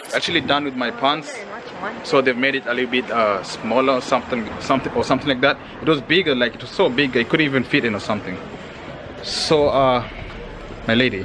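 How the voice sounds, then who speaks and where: A man speaks at a very fast pace with ordinary pitch variation, noticeable background noise behind him. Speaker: vlogger. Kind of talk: casual vlog chat. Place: street. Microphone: phone near.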